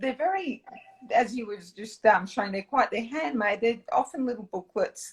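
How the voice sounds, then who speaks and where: Speaking with an Australian accent, a woman lets her pitch swing very widely. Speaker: dietitian and zine creator. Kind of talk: interview.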